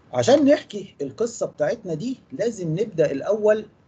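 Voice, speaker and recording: An Egyptian accent with very wide pitch swings at a fairly slow pace. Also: man. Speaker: engineering lecturer. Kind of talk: lecture. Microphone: video call.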